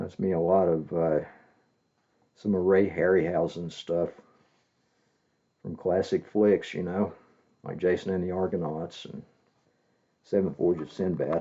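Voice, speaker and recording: Soft-spoken, a man with a very deep, low pitch talks fairly slowly in a monotone, flat intonation with long, frequent pauses. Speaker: comic collector. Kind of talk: casual show-and-tell video. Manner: hesitant, many fillers.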